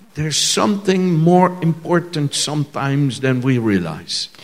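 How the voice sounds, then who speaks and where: Noticeable background noise sits behind a man speaking at a fairly high pitch. His intonation is lively and his pace very slow. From Netherlands. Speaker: visiting preacher. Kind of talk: sermon. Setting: church stage with audience, speaking through an interpreter.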